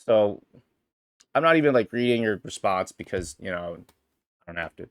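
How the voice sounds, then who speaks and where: Vocal fry from a man talking at a fairly quick pace, the sound dry and close with no echo. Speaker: streamer podcast host. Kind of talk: casual solo livestream chat. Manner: halting, many restarts.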